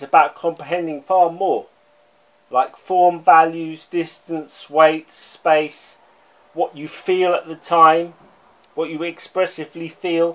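A man's high, flat, monotone voice at a very slow pace. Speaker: art commentator. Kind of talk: angry rant; video essay lecture. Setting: online video. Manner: emphatic, insistent, scornful; repeats words, halting. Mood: critical, passionate. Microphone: phone near.

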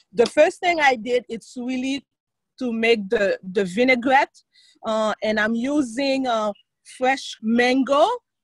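The sound is dry with no echo and a quiet background. Delivery is fairly slow with ordinary pitch variation. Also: woman. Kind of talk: tutorial. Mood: cheerful. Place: garden. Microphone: video call.

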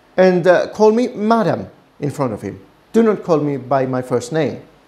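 The pace is fairly slow as a man talks. Very wide pitch swings run through his speech. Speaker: business consultant host. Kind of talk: personal anecdote commentary. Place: office. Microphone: lapel.

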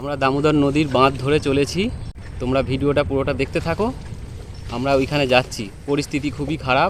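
Here is a man with a plain, everyday voice. His pitch is fairly high and his intonation fairly even. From West Bengal, Hooghly district. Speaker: vlogger. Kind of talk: on-location video commentary. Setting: outdoors.

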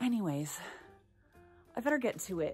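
A woman speaks over faint music in the background. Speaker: actress, comedian. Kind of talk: casual vlog chat. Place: garage. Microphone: phone near.

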